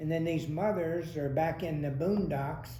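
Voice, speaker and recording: A man with an American accent speaks in a dark, mellow tone at a fairly high pitch. Audible room echo surrounds his voice. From US South. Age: 80s+. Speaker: retired township supervisor. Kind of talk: oral history interview. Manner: halting, many fillers.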